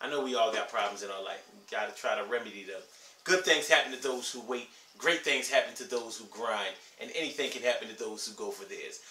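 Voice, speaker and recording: A man's fairly quick speech with ordinary pitch variation, in audible room echo. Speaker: vlogger giving life advice. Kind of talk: casual vlog chat. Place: home room. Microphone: camera far.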